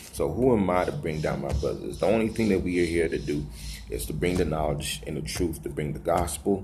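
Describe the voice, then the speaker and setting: Audible room echo surrounds a man with a very deep, low pitch and vocal fry. He talks at a fairly quick pace with lively intonation. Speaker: religious video blogger. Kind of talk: casual vlog monologue. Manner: fast.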